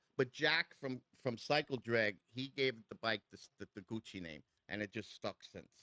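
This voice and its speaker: Here a man with a New York accent speaks at a moderate pace. His voice comes across dry and close, with no echo. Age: 60s. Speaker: custom motorcycle builder. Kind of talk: casual chat. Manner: animated.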